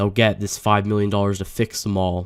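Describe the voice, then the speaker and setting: This man's fairly low voice stays monotone and flat. The recording is very clean, with a silent background. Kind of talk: casual talk to camera. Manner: hesitant, stuttering, many filler words.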